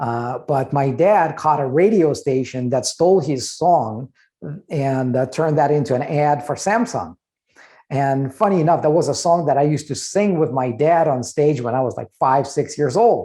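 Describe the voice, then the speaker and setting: A man with fairly high pitch and a dark, mellow tone speaks at a moderate pace with ordinary pitch variation. The background is quiet. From Russia. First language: Russian. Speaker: trademark lawyer and business owner. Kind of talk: podcast interview. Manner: conversational with frequent fillers.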